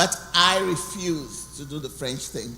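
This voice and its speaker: Amid noticeable background noise and audible room echo, a woman with a very deep, low pitch speaks at a moderate pace with ordinary pitch variation. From Cameroon (anglophone). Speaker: guest speaker. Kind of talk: testimony.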